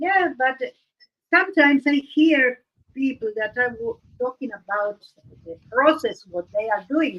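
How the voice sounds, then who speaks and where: Speaking at a fairly slow pace with long, frequent pauses, a woman uses a high pitch with very wide pitch swings. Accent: Argentine. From Argentina. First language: Spanish. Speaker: art livestream host. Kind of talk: casual chat. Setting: live stream. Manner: halting, searching for words.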